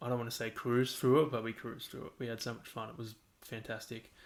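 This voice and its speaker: The speaker is a man. He talks with an Australian accent. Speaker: podcast host. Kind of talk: casual monologue. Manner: monotone; rambling, halting.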